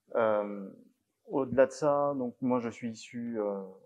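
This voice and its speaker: A man speaks quietly at a medium pitch. His intonation stays fairly even. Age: 20s. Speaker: parliamentary candidate and tech company founder. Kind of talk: political public meeting talk. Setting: village hall public meeting. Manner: speaks too quietly at first.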